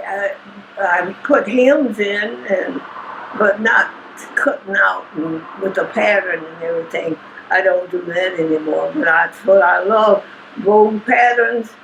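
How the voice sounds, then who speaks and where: Her intonation lively and her pitch medium, a woman speaks at a fairly slow pace over noticeable background noise. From Kentucky. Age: 80s+. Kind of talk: interview answer.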